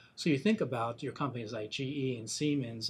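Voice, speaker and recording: A somewhat breathy man's voice with fairly even intonation and a fairly quick pace. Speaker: industry analyst. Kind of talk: interview. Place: studio.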